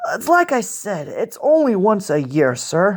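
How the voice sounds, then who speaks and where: A put-on character voice with fairly high pitch swings very widely up and down at a moderate pace. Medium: read story. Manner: nervous, stammering, deferential.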